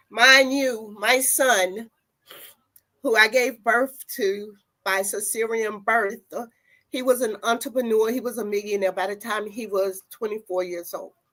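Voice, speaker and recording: Bright and sharp in tone, this voice with a North Carolina accent keeps a fairly even intonation at a fairly slow pace. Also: woman, fairly high pitch for a woman. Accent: Southern US (North Carolina). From US South, North Carolina. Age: 70s. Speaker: activist, sterilization survivor. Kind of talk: testimony.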